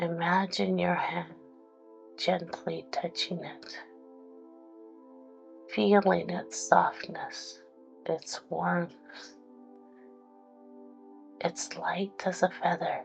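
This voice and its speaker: Over music in the background, a woman speaks at a very slow pace with long, frequent pauses and big swings in loudness. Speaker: guided meditation and hypnotherapy host. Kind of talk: guided meditation. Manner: soft, slow, soothing.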